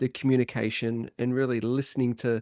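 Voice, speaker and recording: This man speaks with an Australian accent at a medium pitch. His intonation stays fairly even. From Australia, Byron Bay, New South Wales. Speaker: performance coach. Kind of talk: podcast interview.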